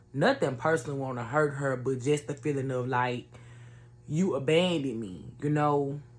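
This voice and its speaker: A woman's very deep, low voice at a fairly slow pace, with ordinary pitch variation, over music in the background. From US South, Jackson, Mississippi. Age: 20s. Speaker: YouTuber. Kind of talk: personal testimony. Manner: casual, conversational.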